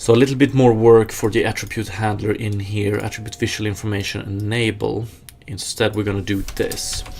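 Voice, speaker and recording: Over noticeable background noise, a man with a Swedish accent talks fairly quickly in a fairly low, monotone, flat voice. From Sweden. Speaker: game developer streamer. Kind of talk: live coding stream, casual chat with viewers. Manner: casual, hesitant with fillers.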